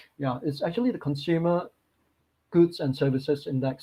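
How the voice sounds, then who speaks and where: A man's somewhat breathy voice holds fairly even intonation. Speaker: market strategist. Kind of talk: webinar presentation. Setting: online webinar.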